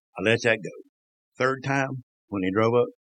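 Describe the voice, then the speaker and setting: Speaking at a moderate pace with a Southern US accent, a man shows ordinary pitch variation in a dry, close sound with no echo. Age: 60s. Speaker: former NASCAR crew member. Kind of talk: casual interview storytelling. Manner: animated.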